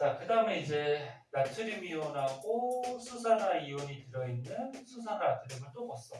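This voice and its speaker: A high-pitched man at a moderate pace with hardly any pauses, very wide pitch swings and big swings in loudness, music in the background. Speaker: science teacher. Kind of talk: classroom lecture. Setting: classroom with students. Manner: muffled by face mask; conversational, questioning.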